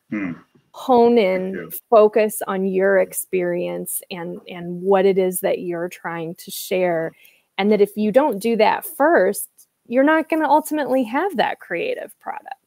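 In a Midwestern American accent, a woman speaks at a fairly slow pace with lively intonation and big swings in loudness, the sound dry with no echo and the background quiet. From US Midwest, Quad Cities area; US Midwest. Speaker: interview show host. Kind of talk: interview. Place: home room. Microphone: earbuds.

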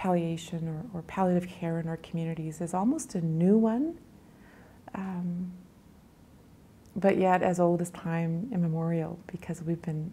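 This woman's voice is somewhat breathy, fairly low in pitch, with a dark, mellow tone. Her intonation stays fairly even at a moderate pace, broken by long, frequent pauses. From Grand Rapids, Manitoba, Canada; Cree First Nation. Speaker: nurse. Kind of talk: interview answer. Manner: thoughtful, reflective. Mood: thoughtful, reflective, gently emotional. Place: home room.

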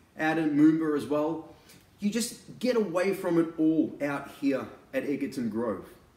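Audible room echo surrounds a man speaking in a high pitch. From Australia. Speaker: real estate agent and auctioneer. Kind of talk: real estate sales pitch to camera. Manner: casual, conversational, persuasive. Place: home room. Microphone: camera far.

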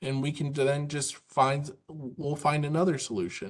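Against a quiet background, a man speaks fairly slowly in a somewhat breathy voice. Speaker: presenter. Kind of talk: webinar presentation. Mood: warm, conversational, persuasive. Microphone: video call.

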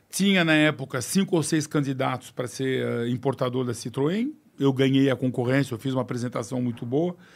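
At a moderate pace, a man with a medium-pitched voice speaks with ordinary pitch variation. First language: French (speaking Portuguese). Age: 60s. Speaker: business executive; guest. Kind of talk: podcast interview. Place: studio. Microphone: studio mic.

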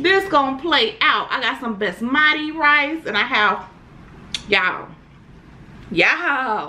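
Projecting her voice, a woman speaks very slowly with very wide swings in pitch. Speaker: mukbang host. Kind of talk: casual vlog chat. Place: home room.

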